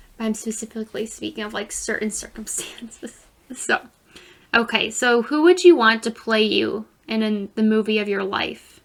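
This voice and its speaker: A fairly high-pitched woman's voice with fairly even intonation amid noticeable background noise. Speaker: podcast co-host. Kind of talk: casual chat. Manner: loud.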